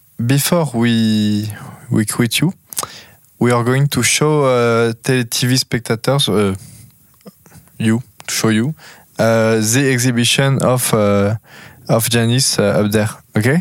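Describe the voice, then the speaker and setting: Speaking at a very slow pace with long, frequent pauses, a man with a French accent and a medium pitch keeps his loudness very even, the sound dry and close with no echo. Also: ordinary pitch variation. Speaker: podcast host. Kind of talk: interview. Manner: halting.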